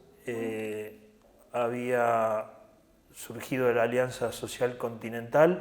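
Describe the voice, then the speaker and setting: The recording has audible room echo. A man speaks very slowly at a medium pitch. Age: 60s. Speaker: trade union leader. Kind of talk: interview. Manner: hesitant fillers.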